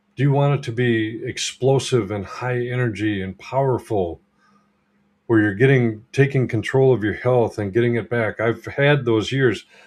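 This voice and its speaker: This is an ordinary speaking voice from a man at medium pitch. He talks at a moderate pace with fairly even intonation. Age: 60s. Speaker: holistic health practitioner and coach. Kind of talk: livestream talk to viewers. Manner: casual, filler words.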